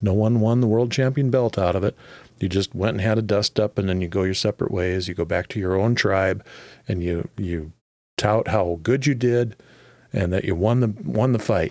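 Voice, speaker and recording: Very clean and set against a silent background, the recording has a man speaking at a moderate pace with a fairly low pitch and ordinary pitch variation. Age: 50s. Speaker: podcast co-host and longtime programmer. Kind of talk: casual faith discussion. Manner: halting, with filler words.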